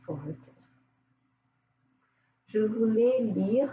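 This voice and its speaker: Somewhat breathy and dark, mellow in tone, the voice moves at a very slow pace with lively intonation. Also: woman. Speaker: therapist. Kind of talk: casual talk to camera.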